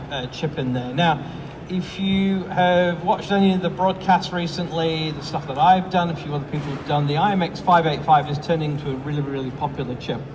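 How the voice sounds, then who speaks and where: With an American accent, a man speaks at a fairly high pitch with ordinary pitch variation, amid noticeable background noise and audible room echo. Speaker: product support engineer and astro imager. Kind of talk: product presentation. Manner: hesitant, many fillers.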